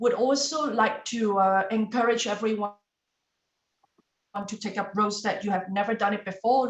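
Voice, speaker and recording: Intonation remains fairly even. The voice carries a non-native accent. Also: woman. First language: not English. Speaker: club meeting general evaluator. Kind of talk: meeting evaluation speech.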